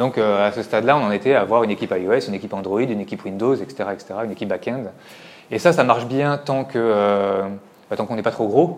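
This man talks at a fairly quick pace in a medium pitch. His pitch variation is ordinary. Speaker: tech company executive. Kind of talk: conference talk. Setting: stage with audience. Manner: fast; halting, many repetitions.

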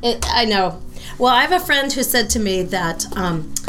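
The speaker has an American accent. Noticeable background noise and audible room echo are present. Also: woman. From US West Coast, San Francisco area. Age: 60s. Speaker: rabbi and powerlifter. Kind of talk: casual interview.

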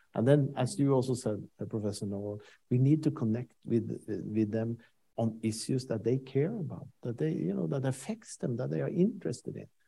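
Speaking with a Norwegian accent, a man has a medium pitch, a somewhat breathy voice, a dark, mellow tone, and lively intonation. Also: moderate pace. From Norway. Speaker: senior international official. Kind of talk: panel discussion.

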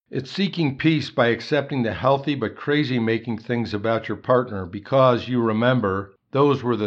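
A man's voice, a normal speaking voice, medium in pitch, at a moderate pace with ordinary pitch variation and hardly any pauses. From Chicago, US Midwest. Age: 60s. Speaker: engineer sharing faith testimony. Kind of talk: testimony.

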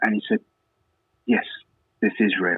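A man with an English accent. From England. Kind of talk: interview testimony. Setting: phone call.

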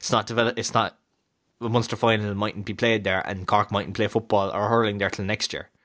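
With a Kerry accent, a man with a fairly low pitch speaks at a fairly quick pace in monotone, flat intonation. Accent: Kerry Irish. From Ireland, County Kerry. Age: 20s. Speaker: sports podcast host. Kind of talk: casual sports chat. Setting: recording over Skype. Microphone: better mic, records locally.

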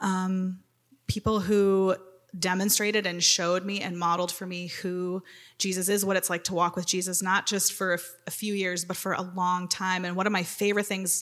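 A woman speaks at a moderate pace in a medium-pitched voice. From Wisconsin. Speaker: worship team vocalist. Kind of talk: testimony.

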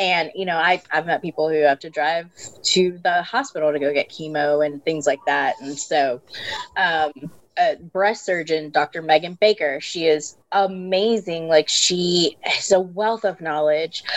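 A woman's fairly low voice with ordinary pitch variation, fairly slow in pace, over noticeable background noise. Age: 30s. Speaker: breast cancer survivor. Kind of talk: personal testimony in casual interview.

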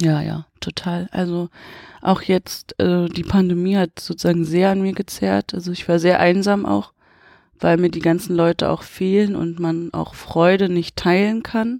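In a dry, close sound with no echo, a woman speaks at a fairly slow pace. Her fairly low pitch has a dark, mellow tone and fairly even intonation. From Potsdam, eastern Germany. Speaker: film director. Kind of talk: interview. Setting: cinema.

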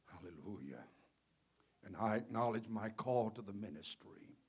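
This voice moves at a moderate pace in a Mississippi accent. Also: man. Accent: Southern US (Mississippi). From Mississippi Gulf Coast, US South. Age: 70s. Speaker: Pentecostal bishop and preacher. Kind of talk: sermon. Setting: church with congregation.

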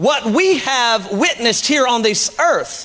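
Noticeable background noise sits behind a man speaking in a raised, projected voice at an extremely high pitch. His tone is animated, with very wide pitch swings. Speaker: pastor. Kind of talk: sermon. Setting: church. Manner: animated, emphatic pulpit delivery with call-and-response; teacherly and conversational, urging the congregation to follow along.

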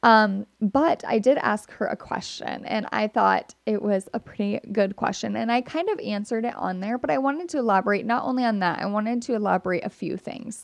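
Lively intonation carries this voice at a fairly quick pace with hardly any pauses, in a dry, close sound with no echo. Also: woman, fairly high pitch for a woman. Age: 20s. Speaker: podcast host. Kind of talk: casual solo monologue. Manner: animated.

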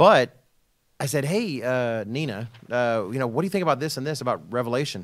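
A man with an American accent and a normal speaking voice talks at a fairly quick pace, medium-pitched with lively intonation, on a very clean recording with a silent background. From Texas. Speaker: religious program host, minister. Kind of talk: casual panel discussion.

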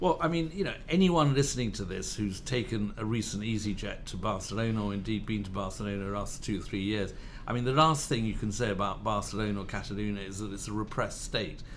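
With a British accent, a man talks at a very fast pace and leaves hardly any pauses. His pitch is fairly low with ordinary variation, and there is audible room echo. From Spain and Britain, born in Madrid. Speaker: journalist and author. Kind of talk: casual chat. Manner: halting, many repeated words.

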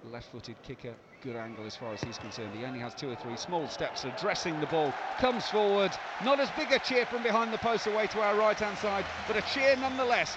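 Speaking at a very fast pace, this voice makes very wide pitch swings and big swings in loudness over noticeable background noise. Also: man, high pitch for a man. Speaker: rugby commentator. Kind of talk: live sports commentary. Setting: stadium press box, radio broadcast. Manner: fast, fluent, play-by-play delivery, rising with each kick and score.

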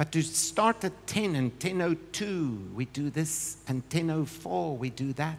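With hardly any pauses, the words come at a very slow pace. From South Africa. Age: 60s. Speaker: guest preacher. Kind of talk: sermon. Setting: church.

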